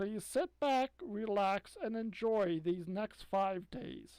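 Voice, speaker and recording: A female-sounding voice at medium pitch performs a put-on character voice at a very slow pace. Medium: read story. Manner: purring, silky.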